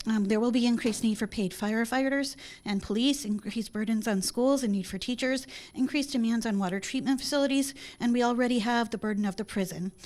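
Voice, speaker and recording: Speaking very fast in an American accent, a woman uses a fairly high pitch and ordinary pitch variation on a very clean recording with a silent background. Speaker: public commenter. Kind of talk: public hearing statement.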